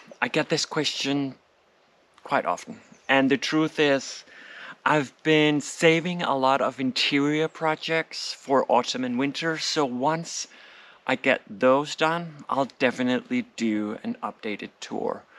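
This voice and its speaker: Speaking very slowly with a Danish accent, a man has a fairly high pitch and lively intonation. The recording is very clean with a silent background, and the sound is dry and close with no echo. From Denmark, Copenhagen suburb. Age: 40s. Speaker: home renovation vlogger. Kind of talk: vlog narration; Q&A vlog. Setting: outdoors in garden.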